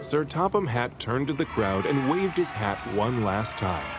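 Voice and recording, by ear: Clear music plays in the background as a man talks at a fairly slow pace in a medium pitch, his voice making big pitch swings.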